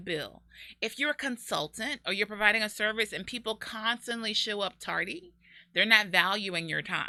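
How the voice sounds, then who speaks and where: In a very clean recording with a silent background, a woman speaks loudly at a fairly high pitch. Her tone is bright and sharp, with ordinary pitch variation at a moderate pace. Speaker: business consultant and show host. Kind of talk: casual talk-show monologue. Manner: moderate volume, rarely loud.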